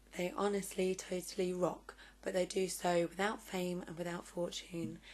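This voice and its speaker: A woman speaks with a southern English accent. Her pitch is fairly low. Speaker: vlogger and interviewer. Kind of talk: vlog introduction and interview.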